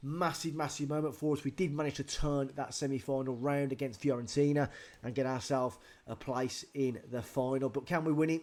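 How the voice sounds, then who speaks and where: This man speaks in a medium pitch at a fairly quick pace. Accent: British. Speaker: gaming youtuber. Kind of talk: game commentary. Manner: animated.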